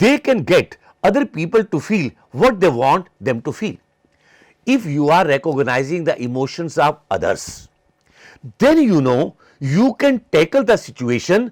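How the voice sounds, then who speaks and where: A man with an Indian accent speaks at a fairly slow pace in a high pitch with very wide pitch swings, in a dry, close sound with no echo, very clean with a silent background. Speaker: psychology lecturer. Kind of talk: lecture. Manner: halting.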